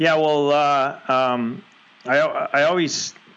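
Against noticeable background noise, a man with a Canadian accent speaks with fairly even intonation. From Canada, West Coast (British Columbia). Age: 40s. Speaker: rugby coach, former national sevens player. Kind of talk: casual interview.

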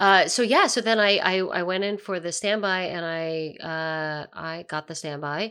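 This woman has a bright, sharp tone and a fairly low pitch, with an American accent and ordinary pitch variation. She talks at a fairly slow pace with hardly any pauses, in a very clean recording with a silent background. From Pennsylvania, near Philadelphia. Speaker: musical theatre actress. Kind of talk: casual chat. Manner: animated.

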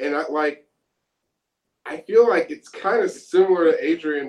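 A man is speaking. He has an American accent. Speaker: pop-punk band member. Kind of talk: casual interview.

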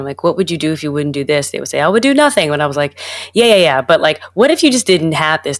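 In a New York accent, a woman speaks with a very deep, low pitch and ordinary pitch variation, the sound dry and close with no echo on a very clean recording with a silent background. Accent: New York American. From New York, US. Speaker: Broadway performer. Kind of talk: casual interview chat.

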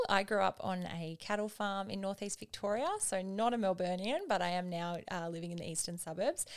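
Against a very clean recording with a silent background, a woman with an Australian accent talks at a moderate pace, medium pitch and ordinary pitch variation. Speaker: podcast co-host. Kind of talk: casual chat.

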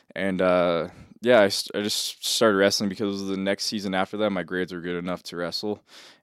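Speaking at a fairly quick pace with an American accent, this voice holds a monotone, flat intonation over a very clean recording with a silent background. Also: man, fairly low pitch for a man. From San Jose, California (Bay Area). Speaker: amateur MMA fighter. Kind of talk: casual chat. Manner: casual, laughs often.

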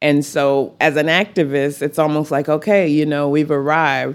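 On a very clean recording with a silent background, a woman with an American accent speaks at a moderate pace in a very deep, low pitch with fairly even intonation. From Texas Panhandle, Amarillo. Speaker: college advisor and community activist. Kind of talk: interview conversation. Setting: outdoors on a back porch. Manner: passionate.

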